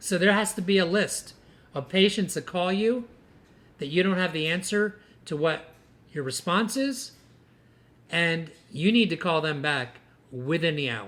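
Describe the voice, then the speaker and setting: In a very clean recording with a silent background, a man speaks at a high pitch and fairly slow pace, with lively intonation and long, frequent pauses. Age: 60s. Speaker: dentist and dental practice coach. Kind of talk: podcast monologue to dentists. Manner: animated.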